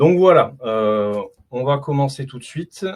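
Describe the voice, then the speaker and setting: Lively intonation marks this man's medium-pitched voice. The background is quiet. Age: 40s. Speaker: consultant presenting his 3D printing hobby. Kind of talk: online meet-up presentation. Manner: hesitant, many fillers (euh, bah).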